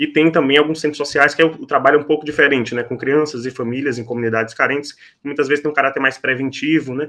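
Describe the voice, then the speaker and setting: A man's bright, sharp tone at a very fast pace, with ordinary pitch variation. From Salvador, Bahia, Brazil. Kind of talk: podcast interview. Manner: frequent fillers and repetitions.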